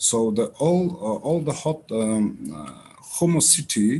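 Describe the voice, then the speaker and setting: Dark and mellow in tone, a man's voice shows ordinary pitch variation. The background is quiet. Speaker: startup founder. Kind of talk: pitch presentation. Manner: halting, many fillers.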